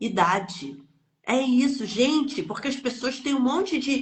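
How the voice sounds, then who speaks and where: A woman at a moderate pace. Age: 60s. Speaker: energy healing teacher. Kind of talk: live stream chat. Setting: online live stream. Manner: animated.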